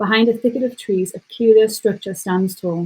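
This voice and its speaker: A woman with an English accent talks at a fairly quick pace. Her voice is somewhat breathy, and her intonation stays fairly even. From England. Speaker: content writer. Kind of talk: casual chat; reading aloud.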